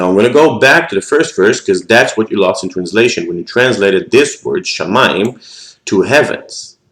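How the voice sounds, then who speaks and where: At a moderate pace, a man speaks with an Israeli accent. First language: Hebrew. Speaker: scripture teacher. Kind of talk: lecture. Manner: halting.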